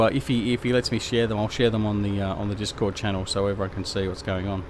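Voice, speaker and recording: A man's voice with an Australian accent and fairly even intonation, over noticeable background noise. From Tasmania, Australia. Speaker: gaming live streamer. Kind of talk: casual live stream chat. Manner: hesitant, lots of fillers.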